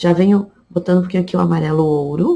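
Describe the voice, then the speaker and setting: A somewhat breathy woman's voice, fairly low in pitch, with ordinary pitch variation at a moderate pace. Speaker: fabric painting teacher. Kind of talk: tutorial. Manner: casual.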